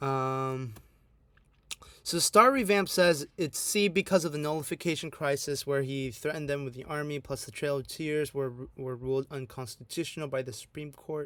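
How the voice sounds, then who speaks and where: In a plain, everyday voice, a man speaks at a fairly high pitch and a moderate pace with ordinary pitch variation. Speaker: AP history tutor. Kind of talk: online review lecture.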